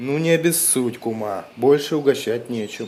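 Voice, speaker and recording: The speaker uses a cartoonish character voice at a low-to-middle pitch. The pace is moderate. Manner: polite, measured.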